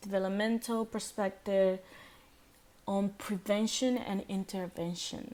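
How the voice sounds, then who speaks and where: On a very clean recording with a silent background, a woman with a non-native accent speaks at a medium pitch and a fairly slow pace. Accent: non-native, self-noted pronunciation issues. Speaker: student presenter. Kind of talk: class presentation. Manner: halting, many repetitions and fillers.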